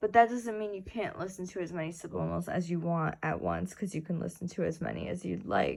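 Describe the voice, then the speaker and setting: Speaking fairly quickly with a slight Brooklyn accent, a woman runs on with hardly any pauses. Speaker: wellness vlogger. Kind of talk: casual explainer vlog.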